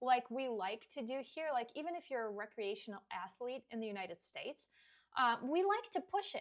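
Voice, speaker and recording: A woman with a Russian accent talks at a fairly quick pace in a high pitch. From Russia (Siberia). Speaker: fitness coach. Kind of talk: podcast monologue.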